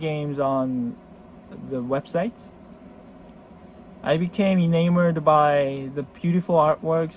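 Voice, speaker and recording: Pitched fairly high, the man speaks with fairly even intonation. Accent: Korean. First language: Korean. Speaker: board game collector. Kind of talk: casual video introduction. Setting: storage room. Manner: halting.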